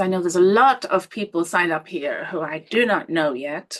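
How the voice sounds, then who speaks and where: The voice has an Irish accent. Its pitch swings very widely. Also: woman. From Ireland. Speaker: healing coach. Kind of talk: webinar presentation. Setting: live online stream.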